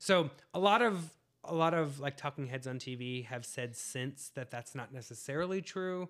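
A normal speaking voice from a man with an American accent, fairly high in pitch, moderate in pace, with lively intonation. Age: 40s. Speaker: podcast co-host. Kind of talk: casual chat.

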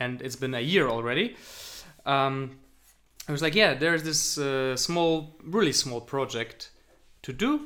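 A man's fairly high, bright, sharp voice at a fairly slow pace, with long, frequent pauses, ordinary pitch variation and a very clean recording over a silent background. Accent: Polish. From Poland. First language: Polish. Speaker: podcast co-host, software agency founder. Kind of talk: casual chat.

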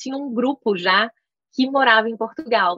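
A woman's voice in a dry, close sound with no echo. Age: 30s. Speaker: startup founder. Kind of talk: interview.

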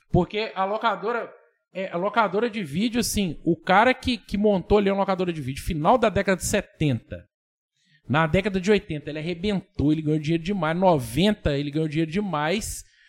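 A man talks at a moderate pace in a high pitch. His pitch varies an ordinary amount. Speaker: podcast host. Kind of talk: casual chat.

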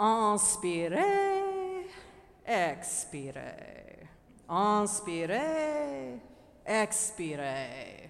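Putting on a character voice with a strong French accent, a woman speaks at a very slow pace in a medium pitch, with audible echo. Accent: thick French. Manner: authoritative.

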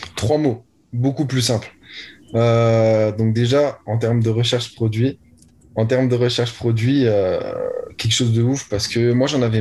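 Somewhat breathy male voice at a medium pitch, monotone and flat, at a moderate pace. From France, Lorraine (Nancy). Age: young. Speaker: young online entrepreneur. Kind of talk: interview.

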